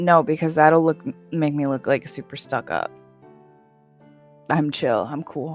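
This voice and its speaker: Over music in the background, a strained, put-on character voice at a middle pitch moves at a moderate pace with long, frequent pauses. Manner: stressed, tense, strained despite calm words.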